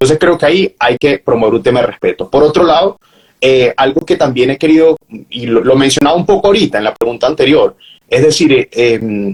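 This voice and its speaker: A normal speaking voice moves at a fairly quick pace with lively intonation, its sound dry and close with no echo. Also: man. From Venezuela. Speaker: journalist, professional announcer, university lecturer. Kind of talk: interview answer.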